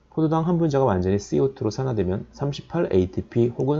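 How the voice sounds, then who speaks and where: A man's voice carries a dark, mellow tone and swings very widely in pitch. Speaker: biochemistry lecturer. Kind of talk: lecture. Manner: fast.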